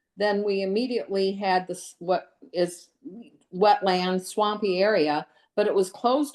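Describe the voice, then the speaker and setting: Medium pitch from a woman, varying in an ordinary way. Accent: American. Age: 60s. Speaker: lakefront resident giving public comment. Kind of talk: public hearing comment. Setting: virtual public hearing. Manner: halting.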